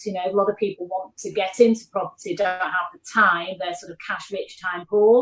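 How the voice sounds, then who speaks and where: A Mancunian accent in a monotone, flat delivery. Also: woman. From Manchester, northern England. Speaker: property investor and business executive. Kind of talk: podcast interview. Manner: hesitant fillers, frequent you know and repeats.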